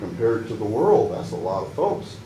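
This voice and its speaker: A man with an American accent talks at a moderate pace over noticeable background noise, with audible echo in the room. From Pacific Northwest US, Washington state. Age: 60s. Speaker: public commenter, military veteran. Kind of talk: public comment at council meeting. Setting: city council meeting. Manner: halting.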